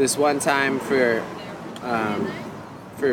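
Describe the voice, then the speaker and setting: Audible room echo and noticeable background noise surround a man with a Hawaiian accent. His medium-pitched voice has fairly even intonation. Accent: Hawaiian American English. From Hawaii, Kauai. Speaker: professional bodyboarder and cafe owner. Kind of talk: casual interview chat. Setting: outdoor cafe.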